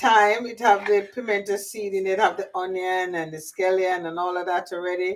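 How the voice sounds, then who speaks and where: A woman speaks in a Jamaican accent. Her pitch is medium and her pace moderate. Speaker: cooking and gardening YouTuber. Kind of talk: casual cooking livestream chat. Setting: home kitchen, on camera. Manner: chatty, informal.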